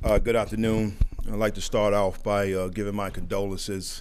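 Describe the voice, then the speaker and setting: A man's flat, monotone voice over light background noise. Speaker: football coach. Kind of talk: press conference remarks and answers. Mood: calm, measured. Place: hall. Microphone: podium.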